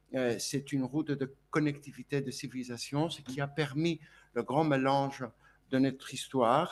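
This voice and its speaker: A man talks at a fairly slow pace in a Greek accent. The background is quiet. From Greece (Volos). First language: Greek (speaking French). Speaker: speaker at a conference. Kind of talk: conference speech. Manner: hesitant, many fillers and repetitions.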